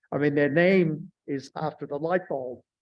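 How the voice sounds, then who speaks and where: Talking at a moderate pace, a man with an Australian accent uses a fairly high pitch and ordinary pitch variation. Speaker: surface scientist and workshop speaker. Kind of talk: lecture.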